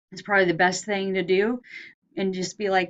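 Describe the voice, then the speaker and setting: A woman's medium-pitched voice in a Southern US accent, at a fairly quick pace. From US South. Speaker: lecturer. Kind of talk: lecture. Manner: casual, hesitant with fillers.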